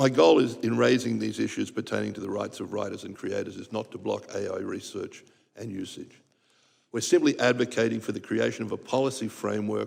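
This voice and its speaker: Very fast speech comes from a man with an Australian accent. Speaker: composer and arranger, music association president. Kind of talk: testimony. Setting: congressional hearing room. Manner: formal.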